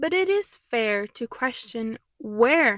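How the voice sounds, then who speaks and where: Her voice is high, with a Mexican accent. The woman's sound is dry and close, with no echo. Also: very clean recording, silent background. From Mexico. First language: Spanish. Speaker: musician and commentary youtuber. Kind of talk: video commentary. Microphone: new microphone.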